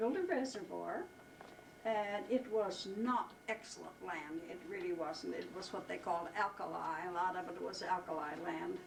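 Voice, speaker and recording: Noticeable background noise runs through the clip. There is audible room echo as well. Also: woman, moderate pace. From Wyoming. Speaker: family elder interviewed about family history. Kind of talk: casual family interview. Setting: at home.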